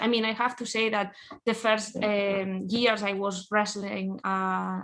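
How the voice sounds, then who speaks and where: A woman speaks at a medium pitch with a Spanish accent against a quiet background. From Spain. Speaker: professional wrestler. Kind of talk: interview. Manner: halting.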